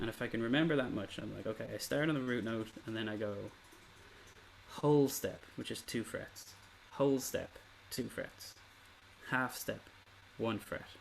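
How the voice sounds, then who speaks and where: A man with an Irish accent speaks at a moderate pace. He leaves long, frequent pauses. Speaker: ukulele teacher. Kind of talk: online workshop lesson.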